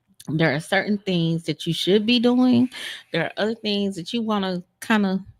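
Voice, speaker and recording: Medium pitch for a woman, with a moderate pace, ordinary pitch variation, an unremarkable speaking voice and a dry, close sound without echo. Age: 50s. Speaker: podcast co-host. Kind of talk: casual chat.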